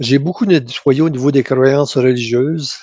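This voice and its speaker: In a dry, close sound with no echo, a man of medium pitch and dark, mellow tone speaks at a fairly slow pace. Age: 70s. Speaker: hypnosis session client. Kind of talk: reading aloud own written notes. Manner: halting, many restarts.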